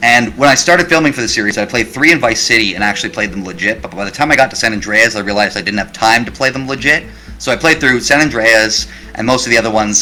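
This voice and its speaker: Music plays in the background as a man at a medium pitch talks at a very fast pace with ordinary pitch variation. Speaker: YouTube creator. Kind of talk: interview.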